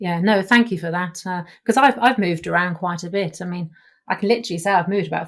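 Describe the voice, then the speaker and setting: Very fast, somewhat breathy speech. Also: woman. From England, Devon. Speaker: podcast host. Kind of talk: podcast interview.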